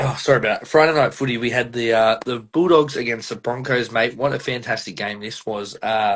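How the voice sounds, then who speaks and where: Speaking in an Australian accent, a man talks fairly quickly with hardly any pauses, at a medium pitch with ordinary pitch variation. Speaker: podcast host. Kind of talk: casual chat.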